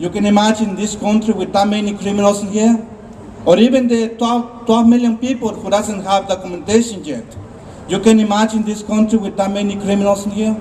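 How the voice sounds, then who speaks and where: A man speaks in a high pitch with flat, monotone intonation at a fairly quick pace. Noticeable background noise can be heard. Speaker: immigrant rights activist. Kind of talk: rally speech. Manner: halting.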